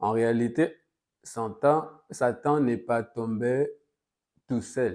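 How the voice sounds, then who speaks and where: A man with a Congolese accent speaks at a very slow pace in a medium pitch, his tone dark and mellow. His intonation stays fairly even, and the recording is very clean with a silent background. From DR Congo. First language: Lingala (speaking French). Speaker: pastor. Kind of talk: sermon. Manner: hesitant, with frequent fillers.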